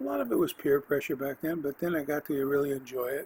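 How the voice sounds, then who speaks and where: With an American accent, a man speaks at a fairly high pitch over noticeable background noise. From California, US. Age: 60s. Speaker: podcast host. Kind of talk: autobiographical monologue. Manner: halting, many fillers.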